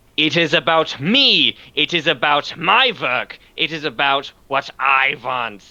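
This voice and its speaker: Shouting in a put-on character voice, a man with a fairly high pitch talks at a fairly slow pace with hardly any pauses. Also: ordinary pitch variation. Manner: screaming, demanding.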